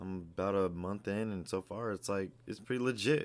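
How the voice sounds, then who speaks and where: This man has an unremarkable speaking voice, fairly low in pitch, with ordinary pitch variation at a moderate pace. The recording is very clean, with a silent background. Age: 20s. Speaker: podcast host, aspiring fitness coach. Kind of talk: casual monologue. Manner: casual, many fillers and repetitions.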